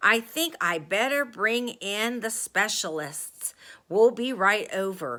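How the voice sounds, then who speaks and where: A woman puts on a raspy character voice at a fairly high pitch, speaking at a fairly slow pace on a very clean recording with a silent background. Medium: read story.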